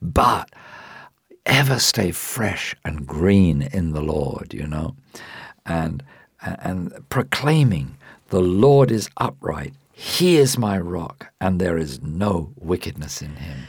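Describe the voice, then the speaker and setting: This man's pitch is very deep and low, with very wide swings. He talks at a very slow pace. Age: 60s. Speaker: Bible teacher. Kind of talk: Bible teaching.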